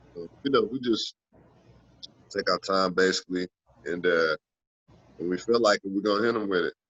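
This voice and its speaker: A man talks at a fairly quick pace with a fairly low pitch and fairly even intonation. His speech has long, frequent pauses. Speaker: aspiring rapper. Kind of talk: interview.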